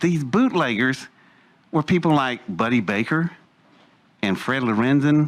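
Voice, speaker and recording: This speaker has an Appalachian accent and lively intonation at very even loudness. The pace is fairly slow, with long, frequent pauses. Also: man, medium pitch for a man. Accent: Appalachian American. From West Virginia, Welch coalfields. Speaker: speaker telling his life story. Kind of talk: personal testimony talk. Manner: casual, hesitant with fillers.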